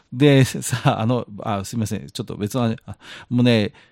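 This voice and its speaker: A man speaks in an ordinary speaking voice at a medium pitch and moderate pace. The sound is dry and close with no echo, on a very clean recording with a silent background. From outside Kansai, Japan. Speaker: podcast co-host. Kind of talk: casual chat.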